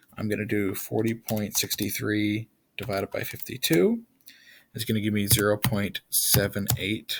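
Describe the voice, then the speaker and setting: On a very clean recording with a silent background, a man speaks fairly slowly in a plain, everyday voice, pitched fairly low. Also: fairly even intonation. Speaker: chemistry teacher. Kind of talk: tutorial. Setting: screen recording.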